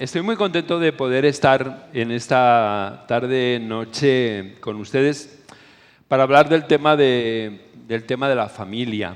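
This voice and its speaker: At a very slow pace, a man speaks with a medium pitch and ordinary pitch variation. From Spain. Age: 60s. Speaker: preacher / conference speaker. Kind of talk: sermon.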